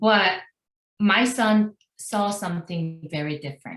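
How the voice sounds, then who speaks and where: A woman with a Korean accent, very slow and somewhat breathy, with ordinary pitch variation. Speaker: Korean language teacher. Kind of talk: webinar presentation. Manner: halting, many fillers.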